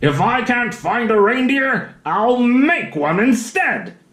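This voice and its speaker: A put-on character voice, fairly high in pitch and fairly slow, with audible echo. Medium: read story. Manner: snarling, sneering.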